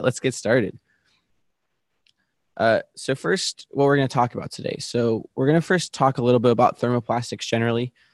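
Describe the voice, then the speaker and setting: Medium pitch from a man, with ordinary pitch variation, in a dry, close sound with no echo. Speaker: webinar presenter, content team lead. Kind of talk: technical presentation.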